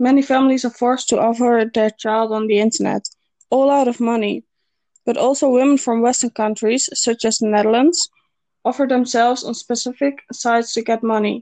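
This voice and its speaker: A woman speaks at a high pitch with a dark, mellow tone and ordinary pitch variation. Her pace is moderate, and the sound is dry and close with no echo. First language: Dutch. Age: 20s. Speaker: university student. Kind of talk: scripted interview. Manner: formal.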